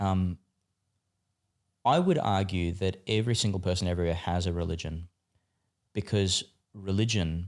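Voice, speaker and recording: In an Australian accent, the speaker uses an animated tone at a moderate pace with long, frequent pauses, in a very clean recording with a silent background. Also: man, very deep, low pitch for a man. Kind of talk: casual podcast interview. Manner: animated, with many fillers and restarts.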